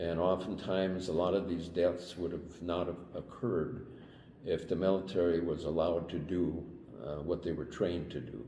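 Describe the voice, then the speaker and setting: A man with an American accent, very deep and low in pitch, dark and mellow in tone, at a moderate pace with fairly even intonation, amid audible room echo. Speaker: Vietnam-era military veteran. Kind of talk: interview. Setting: on camera interview. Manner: halting, with many fillers.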